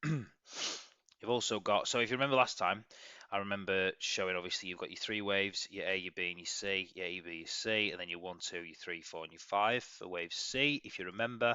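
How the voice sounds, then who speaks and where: With an English accent, a man speaks fairly quickly at a fairly low pitch. His pitch varies normally, while his loudness swings widely. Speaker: crypto trading analyst. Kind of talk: market analysis video. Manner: fast, rambling.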